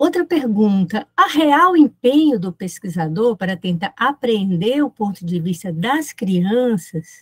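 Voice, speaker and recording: Somewhat breathy, a woman speaks at a fairly slow pace with very wide pitch swings against a quiet background. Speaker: professor. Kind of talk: academic lecture. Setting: video call. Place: home room.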